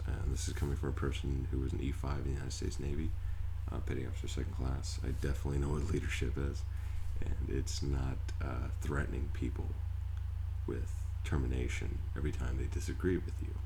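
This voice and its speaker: A soft-spoken man talks very fast in a very deep, low voice, with fairly even intonation and very even loudness. Noticeable background noise sits behind him. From United States. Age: 30s. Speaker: war veteran; former mail carrier. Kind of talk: casual talk to camera.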